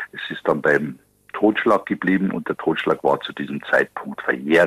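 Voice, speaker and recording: A man's loudness swings widely. The sound is dry and close, with no echo. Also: moderate pace. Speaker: police detective. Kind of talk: interview answer.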